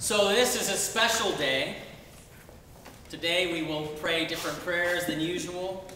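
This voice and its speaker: Light background noise and audible room echo surround a man speaking. He talks at a fairly slow pace with ordinary pitch variation. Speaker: Episcopal bishop. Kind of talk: sermon. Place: church.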